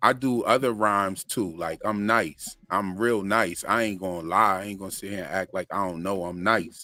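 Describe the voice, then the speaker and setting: A man's relaxed, bright, sharp voice at a fairly low pitch, with fairly even intonation and hardly any pauses. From Florida (Sanford), moved from Pennsylvania around age ten. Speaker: channel host and music producer. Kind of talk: casual chat on a live stream. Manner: relaxed, slangy.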